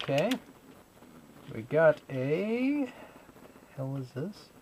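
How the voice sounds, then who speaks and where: Very wide pitch swings from a man with a fairly high voice, at a very slow pace, over noticeable background noise. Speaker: video blogger. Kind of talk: casual vlog. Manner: animated.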